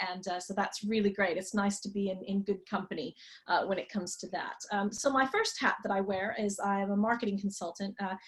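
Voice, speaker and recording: Somewhat breathy, a woman with an American accent speaks at a fairly quick pace. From Texas, US. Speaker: marketing consultant and tour guide. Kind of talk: online class for beginners.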